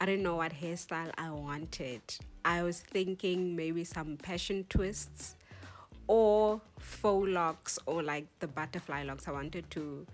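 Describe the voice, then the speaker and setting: Music plays behind a woman speaking at a fairly slow pace. Her fairly low voice shows ordinary pitch variation. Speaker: hair tutorial vlogger. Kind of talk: tutorial vlog. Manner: casual, hesitant with fillers.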